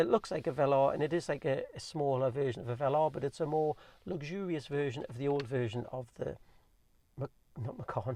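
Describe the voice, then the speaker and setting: Here a man speaks at a very fast pace and fairly high pitch with ordinary pitch variation. His tone is dark and mellow, and somewhat breathy. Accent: Geordie. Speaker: car owner vlogger. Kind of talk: casual review monologue.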